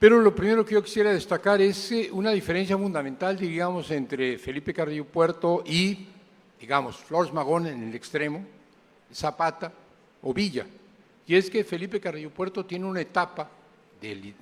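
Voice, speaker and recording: A man with a high pitch speaks with lively intonation and big swings in loudness. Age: 80s+. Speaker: historian, lecturer. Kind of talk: lecture.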